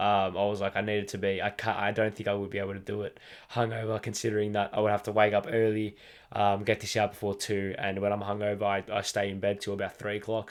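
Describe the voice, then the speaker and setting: A man with an Australian accent, fairly low-pitched and fairly quick, on a very clean recording with a silent background. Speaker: football podcast host. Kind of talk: solo podcast monologue. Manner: halting, many fillers.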